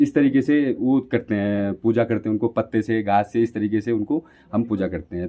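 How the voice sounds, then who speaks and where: Using a normal speaking voice, a man talks at a medium pitch and moderate pace with ordinary pitch variation. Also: hardly any pauses. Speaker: local guide. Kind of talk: interview.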